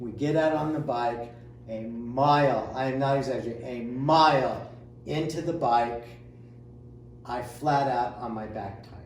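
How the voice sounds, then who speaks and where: There is audible room echo and noticeable background noise. A man speaks with fairly even intonation and long, frequent pauses. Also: medium pitch for a man. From Indiana, US Midwest. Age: 60s. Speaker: amateur triathlete. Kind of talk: casual interview chat. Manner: hesitant with many filler sounds.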